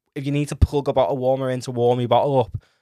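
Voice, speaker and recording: In an English accent, a man talks with monotone, flat intonation, the sound dry and close with no echo. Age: 20s. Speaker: podcast host, first-time father. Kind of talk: casual monologue.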